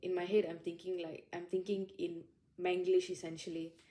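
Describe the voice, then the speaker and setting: A woman with a Malaysian accent speaks at a fairly quick pace and fairly low pitch. Her tone is dark and mellow, her intonation monotone and flat. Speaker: junior lawyer. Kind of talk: interview reflection.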